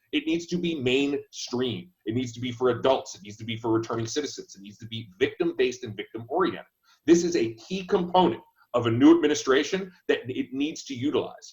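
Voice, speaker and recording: A man's somewhat breathy, fairly high-pitched voice at a fairly quick pace, with lively intonation and big swings in loudness. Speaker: candidate for state attorney. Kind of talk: panel discussion. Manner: fast.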